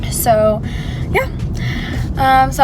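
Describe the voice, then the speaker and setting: A woman talks fairly slowly, her voice carrying audible room echo along with noticeable background noise. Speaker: lifestyle vlogger. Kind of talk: casual vlog. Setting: office at work. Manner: quiet, low volume.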